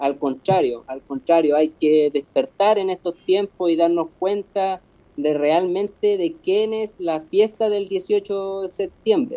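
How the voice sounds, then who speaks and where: A man with a Chilean accent speaks very slowly yet with hardly any pauses, his high voice dark and mellow in tone and lively in intonation. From Chile, Patagonia (Puerto Cisnes). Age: 30s. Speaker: street musician, accordion player. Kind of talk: casual interview.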